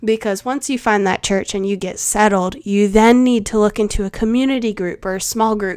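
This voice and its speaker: Medium-pitched female voice at a moderate pace, with fairly even intonation. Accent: South Carolina. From US South, Charleston, South Carolina. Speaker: podcast host and life coach. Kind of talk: casual advice chat.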